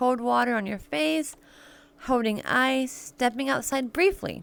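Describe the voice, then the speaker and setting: Recorded very cleanly against a silent background, a woman talks in a high voice with very wide pitch swings. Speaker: podcast host. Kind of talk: reading aloud. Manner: halting.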